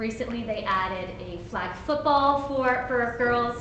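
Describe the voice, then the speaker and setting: A woman speaks with ordinary pitch variation, her voice carrying audible room echo over noticeable background noise. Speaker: park board candidate. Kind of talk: candidate forum answer.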